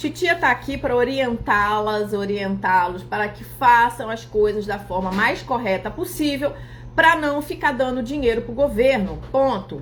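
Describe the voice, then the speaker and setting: A woman's fairly high-pitched, animated voice with lively intonation at a fairly slow pace. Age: 40s. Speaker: accountant and finance influencer. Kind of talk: live stream talk.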